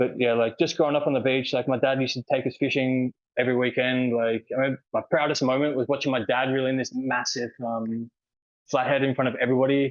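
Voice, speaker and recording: An Australian accent comes from a man talking at a very fast pace. His medium-pitched voice has monotone, flat intonation. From Australia, Sydney (Manly). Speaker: world traveler, cyclist. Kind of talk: podcast interview. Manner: casual, filler-heavy.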